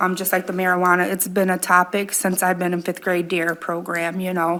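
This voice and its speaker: The voice is loud, with a bright, sharp tone and monotone, flat intonation. It moves at a fairly quick pace on a very clean recording with a silent background. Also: woman, medium pitch for a woman. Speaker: city council member. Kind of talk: council meeting remarks.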